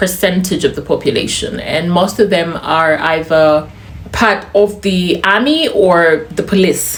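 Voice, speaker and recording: A woman speaks over noticeable background noise. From Uganda. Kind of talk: casual talk to camera.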